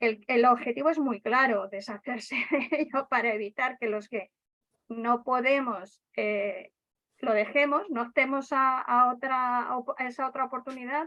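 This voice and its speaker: Woman's high-pitched voice, bright and sharp in tone, with ordinary pitch variation. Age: 60s. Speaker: night school student and activist. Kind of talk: casual group discussion. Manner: animated; halting.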